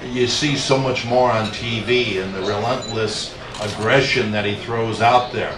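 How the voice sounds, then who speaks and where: Medium-pitched male voice at a fairly slow pace, fairly even in intonation, with audible room echo and noticeable background noise. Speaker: boxing promoter. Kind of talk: press conference. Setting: press conference room with audience. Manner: halting.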